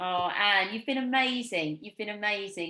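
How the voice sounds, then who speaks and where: With an English accent, a woman talks at a fairly quick pace in a bright, sharp tone. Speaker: podcast host. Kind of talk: interview.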